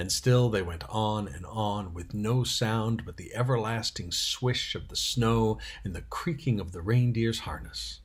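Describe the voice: Someone gives a plain reading aloud of the text.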